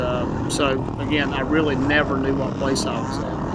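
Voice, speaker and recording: A man speaks in a monotone with flat intonation against noticeable background noise. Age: 60s. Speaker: amateur motocross rider and vlogger. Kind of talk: video commentary narration. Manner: halting, many fillers.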